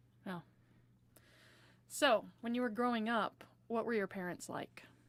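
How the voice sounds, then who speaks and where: Here is a woman with an ordinary speaking voice and a fairly high pitch. She talks at a fairly slow pace with ordinary pitch variation. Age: 40s. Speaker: interviewer, daughter. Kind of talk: oral history interview. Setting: inside a small Airstream trailer.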